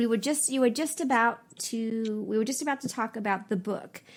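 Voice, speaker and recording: Here is a woman with an American accent and an ordinary speaking voice. Her pitch is fairly high, with ordinary variation, at a moderate pace. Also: very clean recording, silent background. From San Francisco Bay Area, California. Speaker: podcast host and law professor. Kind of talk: interview conversation.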